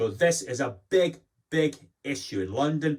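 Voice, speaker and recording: Speaking with a Glasgow accent, a man sounds animated. His voice is somewhat breathy. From Scotland, Glasgow. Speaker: commentator. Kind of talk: opinion monologue.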